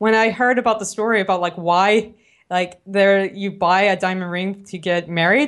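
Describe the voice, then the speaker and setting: A woman with an American accent and a medium pitch talks at a moderate pace with ordinary pitch variation against a quiet background. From New Orleans, US South. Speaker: product manager. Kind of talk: casual podcast interview.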